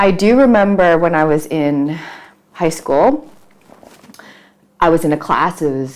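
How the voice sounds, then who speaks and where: In an American accent, a woman with a very deep, low pitch speaks at a moderate pace. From US, Queens, New York City. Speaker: startup founder, city official. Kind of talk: interview. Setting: video call.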